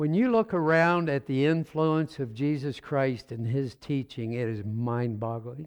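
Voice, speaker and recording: On a very clean recording with a silent background, a man with a fairly high pitch speaks at a fairly slow pace with ordinary pitch variation in a plain, everyday voice. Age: 60s. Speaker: pastor. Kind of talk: sermon. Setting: church.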